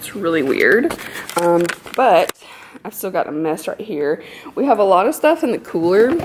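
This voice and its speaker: Loudness swings widely as a woman talks at a moderate pace against noticeable background noise. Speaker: vlogger. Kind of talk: casual vlog chat. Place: home room. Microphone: phone near.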